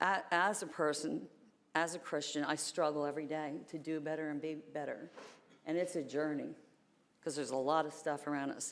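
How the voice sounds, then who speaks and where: A woman with an American accent, a very deep, low pitch, fairly even intonation and a fairly quick pace. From northern US. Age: 60s. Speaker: public commenter. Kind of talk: public comment at meeting. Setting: county commission chambers. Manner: fast; loud.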